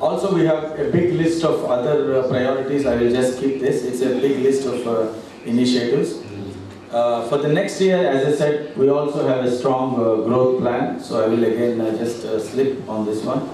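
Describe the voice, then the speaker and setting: A man's voice with ordinary pitch variation, strong room echo and light background noise. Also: moderate pace. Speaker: presenter. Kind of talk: business presentation. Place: hall. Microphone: pa.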